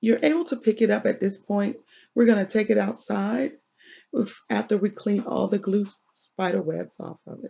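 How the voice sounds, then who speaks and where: Speaking at a moderate pace and medium pitch, a woman shows vocal fry, ordinary pitch variation and big swings in loudness. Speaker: craft tutorial creator. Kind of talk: tutorial.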